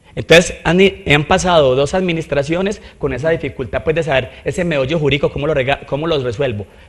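A man's somewhat breathy voice at a fairly quick pace, with ordinary pitch variation. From Colombia. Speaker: mayoral candidate; candidate. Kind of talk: interview. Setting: studio. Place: studio. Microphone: handheld.

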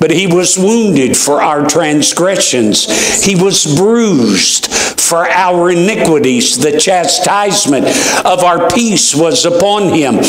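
Audible room echo surrounds a man speaking. His pace is very slow and his intonation lively. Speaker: preacher. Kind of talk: scripture reading in a sermon. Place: church.

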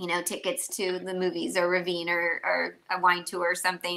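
A woman's bright, sharp tone in monotone, flat intonation at a moderate pace. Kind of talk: interview answer. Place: home room.

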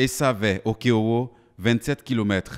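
Only a man's voice is heard. The very clean recording has a silent background and a dry, close sound with no echo. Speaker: news reporter. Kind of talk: news reading, scripted voice-over report. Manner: formal, polished, lyrical delivery with flowery praise.

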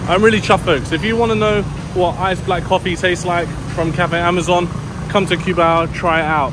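Talking at a fairly quick pace, a man with a high pitch comes through over noticeable background noise. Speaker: travel vlogger. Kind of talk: casual vlog chat. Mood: pleased, upbeat. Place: street. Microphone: phone near.

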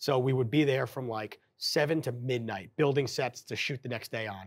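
A man with an American accent at a moderate pace, with ordinary pitch variation and a quiet background. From New York area. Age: 30s. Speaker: stadium in-game operations director. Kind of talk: casual interview. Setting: stadium control room. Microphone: lapel.

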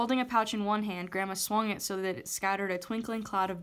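In plain reading aloud, the intonation stays fairly even.

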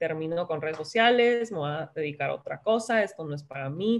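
A woman's speech has ordinary rises and falls in pitch and moves at a moderate tempo. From San Diego / Tijuana border region; San Diego. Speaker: wellness influencer and health coach; wellness influencer, health coach. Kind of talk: casual interview chat. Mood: reflective, calm. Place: home room. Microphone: video call.

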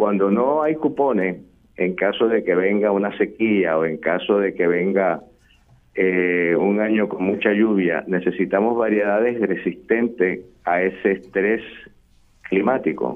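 At a fairly slow pace, a man speaks with a fairly low pitch, ordinary pitch variation and very even loudness. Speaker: agriculture expert. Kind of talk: interview. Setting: remote call. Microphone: echo on the line.

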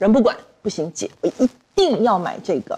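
The woman's pitch swings very widely. She keeps a moderate pace. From Taiwan. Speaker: panel guest; guest. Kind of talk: panel discussion. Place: studio.

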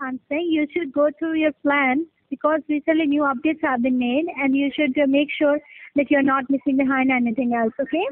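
A woman's high-pitched voice with fairly even intonation, dry with no echo, against a quiet background. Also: fairly quick pace. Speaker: caller. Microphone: phone line.

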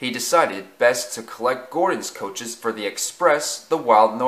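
Lively intonation from an unforced reading voice

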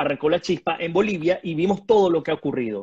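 Against a quiet background, the speaker goes at a fairly quick pace. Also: man. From Venezuela. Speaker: journalist and political commentator; journalist, political commentator. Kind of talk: political analysis interview. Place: home room. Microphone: video call.

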